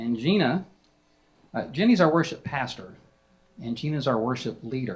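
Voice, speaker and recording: A somewhat breathy man with a Southern US accent, medium in pitch, at a moderate pace with long, frequent pauses. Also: lively intonation. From South Carolina. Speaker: moderator of a worship panel. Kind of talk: panel moderation at a conference.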